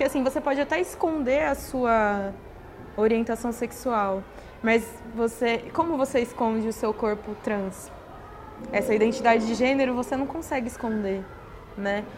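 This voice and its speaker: Amid noticeable background noise, a woman talks at a moderate pace with ordinary pitch variation and long, frequent pauses. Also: fairly high pitch for a woman. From Brazil, interior of São Paulo state. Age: 20s. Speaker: teacher-training course participant. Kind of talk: interview. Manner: hesitant, many fillers.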